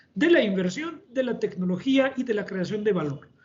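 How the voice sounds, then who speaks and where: Through noticeable background noise, a man with a French accent speaks in a high voice with lively intonation. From France. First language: French (speaking Spanish). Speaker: engineering company director, panelist. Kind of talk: webinar panel discussion. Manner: halting.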